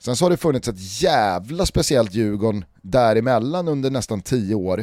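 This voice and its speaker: A man speaks at a moderate pace with a dark, mellow tone and lively intonation. The recording is very clean, with a silent background. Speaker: football podcast host. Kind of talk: casual chat.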